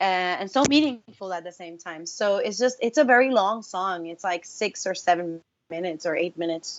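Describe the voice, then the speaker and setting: A woman with a Spanish accent speaks with lively intonation and hardly any pauses. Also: medium pitch for a woman, moderate pace, big swings in loudness. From Puerto Rico. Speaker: singer-songwriter. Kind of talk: interview. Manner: animated.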